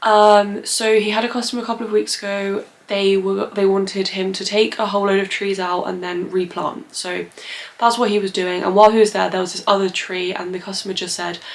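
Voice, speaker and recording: Noticeable background noise sits behind a woman speaking fairly quickly at a medium pitch with monotone, flat intonation. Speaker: plant content creator. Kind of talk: casual vlog talk to camera. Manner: hesitant, many fillers.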